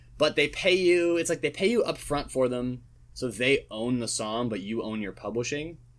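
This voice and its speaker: On a very clean recording with a silent background, a man speaks at a moderate pace. His pitch is medium and his intonation lively. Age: 20s. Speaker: singer-songwriter. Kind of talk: casual chat. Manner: halting.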